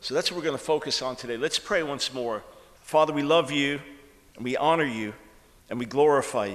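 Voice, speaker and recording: With a New York accent, a man speaks fairly quickly at a fairly high pitch, using ordinary pitch variation and long, frequent pauses. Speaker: author and preacher. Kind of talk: sermon. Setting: church conference with audience.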